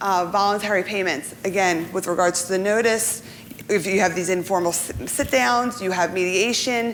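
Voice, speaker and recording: A woman of medium pitch, whose pitch varies in an ordinary way, can be heard with noticeable background noise behind her. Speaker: insurance professional panelist. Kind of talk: seminar presentation. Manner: fast.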